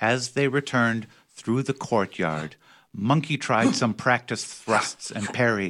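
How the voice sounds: The reading voice is natural and shows ordinary pitch variation.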